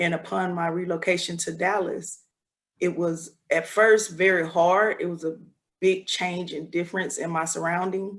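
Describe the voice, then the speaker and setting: A woman talks at a fairly low pitch. She keeps a moderate pace and a monotone, flat intonation. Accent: Southern US. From US South, Selma, Alabama. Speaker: judge. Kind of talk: press conference Q&A.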